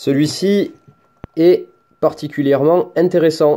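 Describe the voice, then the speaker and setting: The man's voice has a dark, mellow tone. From France. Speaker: product reviewer, hobbyist YouTuber. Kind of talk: tutorial. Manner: casual, hesitant with fillers.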